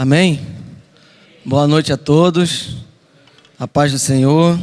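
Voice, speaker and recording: Very slowly, a man talks in a fairly high register with fairly level intonation. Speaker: missionary preacher. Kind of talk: sermon. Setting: church service.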